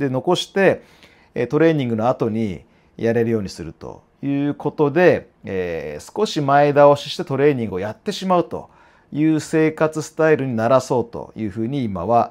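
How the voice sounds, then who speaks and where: A medium-pitched male voice with very wide pitch swings, over a quiet background. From Japan. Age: 40s. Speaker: fitness trainer and YouTuber; fitness trainer, YouTuber. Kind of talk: casual monologue to camera. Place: office. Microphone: lapel.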